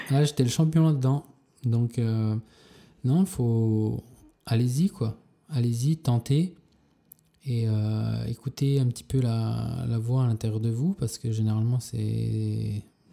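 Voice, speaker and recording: A man speaks very slowly with long, frequent pauses. His medium-pitched voice has a dark, mellow tone and ordinary pitch variation. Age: 30s. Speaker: street artist. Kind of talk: casual interview. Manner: halting.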